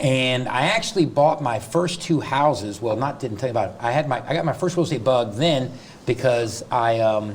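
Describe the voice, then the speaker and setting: Noticeable noise sits behind the recording. A man with an American accent speaks with ordinary pitch variation. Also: medium pitch for a man. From US South. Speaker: real estate agent and coach. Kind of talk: interview. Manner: fast.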